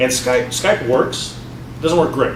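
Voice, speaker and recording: A man speaks at a fairly quick pace and a medium pitch. The room echo is audible, and there is noticeable background noise. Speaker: developer evangelist and podcast host. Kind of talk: casual interview conversation. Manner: fast; hesitant, many fillers and repeats.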